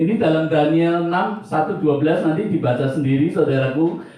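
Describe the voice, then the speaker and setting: Audible room echo surrounds a man whose pitch sits fairly high, his intonation fairly even and his pace moderate. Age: 60s. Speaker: pastor. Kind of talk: sermon. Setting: church.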